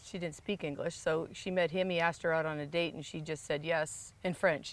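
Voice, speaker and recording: In an ordinary speaking voice, a woman talks at a fairly quick pace with a fairly low pitch and fairly even intonation. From Quebec, Canada, then New Hampshire from age 12. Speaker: golf professional and teacher. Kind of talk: interview.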